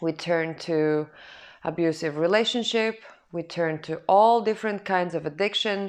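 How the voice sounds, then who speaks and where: Against a quiet background, a woman with a non-native accent speaks fairly slowly in a fairly low voice. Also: ordinary pitch variation. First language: not English. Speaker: spiritual self-help vlogger. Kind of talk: personal testimony monologue. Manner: halting.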